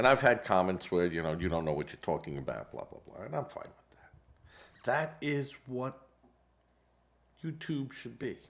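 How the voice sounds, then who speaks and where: A man's voice with vocal fry, very wide pitch swings and big swings in loudness, on a very clean recording with a silent background. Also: medium pitch for a man, moderate pace. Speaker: political commentary podcaster. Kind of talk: casual political commentary monologue. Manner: hesitant with fillers.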